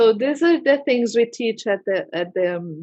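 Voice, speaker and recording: A woman with a non-native accent speaks at a very slow pace. Her fairly high pitch carries lively intonation. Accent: foreign accent in English. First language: Portuguese. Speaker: holistic therapist. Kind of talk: interview. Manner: halting.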